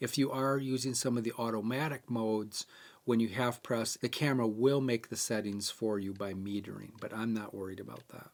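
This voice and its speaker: This man has an ordinary speaking voice, medium in pitch, with fairly even intonation at a fairly quick pace. The recording is very clean, with a silent background. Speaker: bird photography camera tutorial host. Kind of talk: tutorial.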